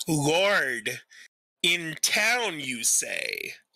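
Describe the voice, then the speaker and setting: Using a put-on character voice, the speaker stays at a middle pitch. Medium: actual play. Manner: calm, probing.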